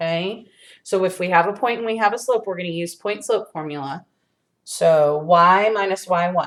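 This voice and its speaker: An ordinary speaking voice unfolds at a fairly slow speed. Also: woman. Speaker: high school math teacher. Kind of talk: video lesson tutorial. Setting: empty classroom.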